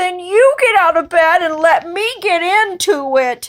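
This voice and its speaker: A woman puts on a character voice. It sits at an extremely high pitch and moves at a fairly slow pace. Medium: read story.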